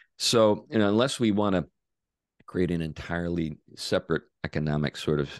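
A man speaks at a moderate pace in a very deep, low pitch with ordinary variation. The sound is dry and close with no echo, against a quiet background. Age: 60s. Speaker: pastor and author. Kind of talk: interview conversation.

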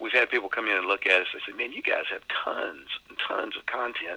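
Noticeable background noise fills the space as a man talks in an American accent. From Texas, Beaumont. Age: 60s. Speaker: pastor. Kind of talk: interview.

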